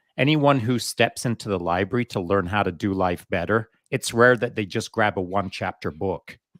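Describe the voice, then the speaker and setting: On a very clean recording with a silent background, a man with an ordinary speaking voice talks at a moderate pace with hardly any pauses, fairly low pitch and ordinary pitch variation. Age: 60s. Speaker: veteran podcast host. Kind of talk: casual chat.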